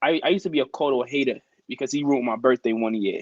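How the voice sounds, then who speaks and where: Speaking very fast with a New York accent, a man uses lively intonation in a dry, close sound with no echo. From Brooklyn, New York. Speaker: teacher and sneakerhead. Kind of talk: casual chat.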